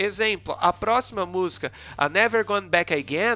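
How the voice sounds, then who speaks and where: In a very clean recording with a silent background, a man projects a raised, high-pitched voice. His tone is bright and sharp, and his pace is moderate. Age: 20s. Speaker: podcast host. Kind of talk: casual interview chat.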